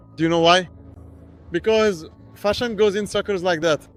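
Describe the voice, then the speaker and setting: There's an animated tone to this man's speech. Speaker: motorcycle reviewer. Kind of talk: trade show walkaround. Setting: motorcycle trade show. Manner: fast.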